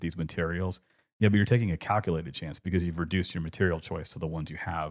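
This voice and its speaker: Very deep and low, a man's voice with a Californian accent races at a very fast pace. His intonation is fairly even, and the recording is very clean with a silent background. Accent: Californian, general American. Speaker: podcast host, art discussion. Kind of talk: casual chat podcast conversation.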